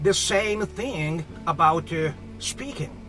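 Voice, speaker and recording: Someone with a Japanese accent talks at a very slow pace while music plays in the background. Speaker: professor, ESL instructor. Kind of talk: lecture talk to camera.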